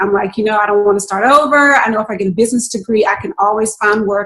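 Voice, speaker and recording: Somewhat breathy and fairly high in pitch, a woman speaks at a very fast pace in a Southern US accent. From North Carolina, US South (Raleigh-Durham). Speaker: registered nurse and business owner. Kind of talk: interview.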